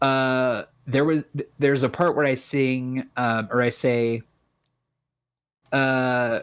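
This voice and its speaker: A man mumbles at a very slow pace in a monotone, flat intonation, with long, frequent pauses. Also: medium pitch for a man. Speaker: rapper. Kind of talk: casual chat. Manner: words run together, mumbles.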